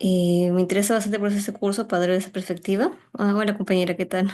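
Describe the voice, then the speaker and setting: At a medium pitch, a woman speaks in a dark, mellow tone with fairly even intonation. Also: quiet background. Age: 20s. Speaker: anthropology student and activist. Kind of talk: self-introduction in online workshop. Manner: hesitant, many fillers.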